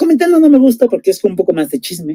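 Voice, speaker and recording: Very wide pitch swings mark this man's dark, mellow tone. The sound is dry and close, with no echo. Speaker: book reviewer, teacher. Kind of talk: casual book recommendation chat. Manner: hesitant, many fillers.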